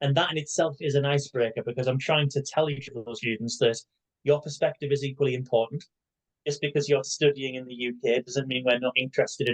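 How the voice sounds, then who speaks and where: Talking at a very fast pace, a man uses a medium-pitched, somewhat breathy voice with fairly even intonation, recorded dry and close with no echo. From northern England, Newcastle upon Tyne. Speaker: university lecturer. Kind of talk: interview. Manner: hesitant with many fillers.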